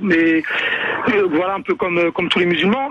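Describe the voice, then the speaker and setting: His pace is fairly quick. The man's pitch shows ordinary variation. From Paris region, Yvelines near Trappes. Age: 20s. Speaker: caller. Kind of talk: radio call-in debate. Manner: halting, many repetitions; casual slangy.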